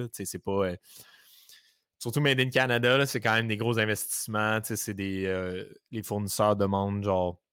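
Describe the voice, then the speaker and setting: A man with a Quebec accent speaks at a fairly slow pace in a fairly low pitch. He leaves long, frequent pauses, and the recording is very clean with a silent background. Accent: Québécois French. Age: 20s. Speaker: entrepreneur, creative agency co-owner. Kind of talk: casual interview chat.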